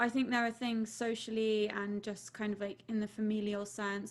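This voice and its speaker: A woman's medium-pitched voice in a southern English accent, monotone and flat, at a moderate pace. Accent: posh southern English RP. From southern England. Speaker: podcast co-host. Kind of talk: casual chat.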